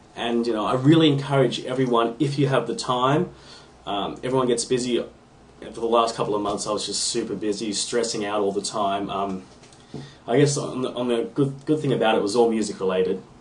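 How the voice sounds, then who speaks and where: In an Australian accent, the speaker goes at a fairly quick pace with ordinary pitch variation. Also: man, medium pitch for a man. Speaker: guitar hobbyist submitting podcast video response. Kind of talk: casual video response monologue. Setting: home room (man cave). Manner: off the cuff, with many ums and ahs.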